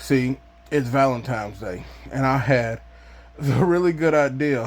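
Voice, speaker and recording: Here is an unremarkable speaking voice from a man at a medium pitch. He talks at a moderate pace with ordinary pitch variation. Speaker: YouTuber. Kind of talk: casual vlog monologue.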